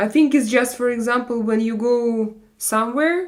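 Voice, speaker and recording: A woman with a European accent speaks very slowly at a fairly high pitch. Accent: European-sounding non-native English. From Russia. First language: not English. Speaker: live streamer. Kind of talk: casual live chat reading viewer comments. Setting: live stream. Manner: halting, with many fillers.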